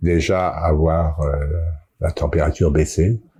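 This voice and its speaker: A man's very deep, low voice, somewhat breathy and fairly slow, on a very clean recording with a silent background. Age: 70s. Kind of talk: interview answer.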